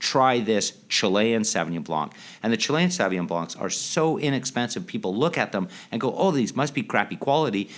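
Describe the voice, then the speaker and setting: Medium-pitched man at a fairly quick pace with very wide pitch swings. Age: 50s. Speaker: sommelier and chef. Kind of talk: interview. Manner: animated.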